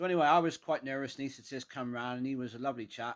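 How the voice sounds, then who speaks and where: With a strong Cornish accent, a man speaks at a very fast pace. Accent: thick Cornish. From England, Cornwall. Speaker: vlogger. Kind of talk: casual personal vlog. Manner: hesitant, many fillers.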